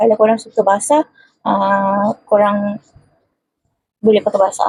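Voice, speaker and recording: A woman whispering, somewhat breathy, in a dry, close sound with no echo. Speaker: beauty vlogger. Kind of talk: makeup tutorial. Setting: bedroom at home.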